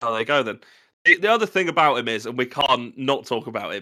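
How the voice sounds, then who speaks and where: In a very clean recording with a silent background, a man talks at a fairly quick pace in a bright, sharp tone. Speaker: podcast host. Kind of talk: casual chat. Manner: animated.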